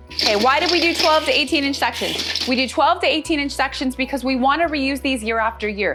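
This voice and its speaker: A woman's high-pitched, animated voice with lively intonation and a fairly quick pace, over background music. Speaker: holiday decor presenter. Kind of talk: tutorial.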